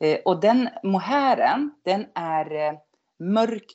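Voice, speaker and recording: At a very slow pace, a woman speaks at a medium pitch. Her voice moves in very wide pitch swings. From northern Sweden (Norrland, near Skellefteå). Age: 50s. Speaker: knitter. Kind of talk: casual chat.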